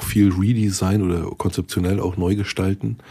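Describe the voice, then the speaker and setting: A man speaks at a very deep, low pitch in a dark, mellow tone that is somewhat breathy. The recording is very clean, with a silent background. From Berlin, Germany. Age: 40s. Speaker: IT consultant, podcast host. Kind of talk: casual chat.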